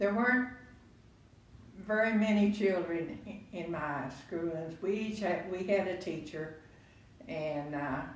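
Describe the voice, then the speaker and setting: A woman with a Texan accent speaks at a fairly slow pace, with long, frequent pauses and ordinary pitch variation. Noticeable background noise and audible room echo are present. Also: medium pitch for a woman. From Texas, Waco. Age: 90s. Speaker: grandparent interviewee. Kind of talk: family interview. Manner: halting.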